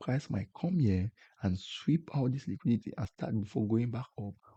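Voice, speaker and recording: A man with a non-native accent talks at a moderate pace and medium pitch, somewhat breathy, with a dark, mellow tone. The sound is dry and close, with no echo. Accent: non-native English accent, self-described. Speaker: forex trading YouTuber. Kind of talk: tutorial. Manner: halting, repeats words.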